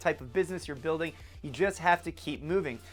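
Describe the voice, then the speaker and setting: Energetic and very fast, a man talks in a high voice with ordinary pitch variation. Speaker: entrepreneur vlogger. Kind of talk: advice vlog talk to camera.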